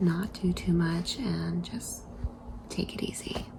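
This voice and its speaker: Speaking at a fairly slow pace, the woman is heard over noticeable background noise. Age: 40s. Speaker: vlogger. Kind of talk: casual vlog. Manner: halting; soft-spoken.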